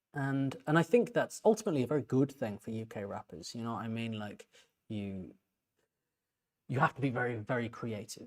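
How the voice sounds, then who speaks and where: This is a man at medium pitch. He speaks at a moderate pace with ordinary pitch variation. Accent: English. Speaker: composer and music reaction youtuber. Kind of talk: music reaction commentary. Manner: halting, many repeated words; casual, conversational.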